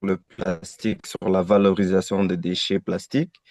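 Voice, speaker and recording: With a French accent, the speaker goes at a moderate pace in a dry, close sound with no echo. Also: man. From DR Congo. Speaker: webinar participant, environment master's graduate. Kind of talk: question in webinar.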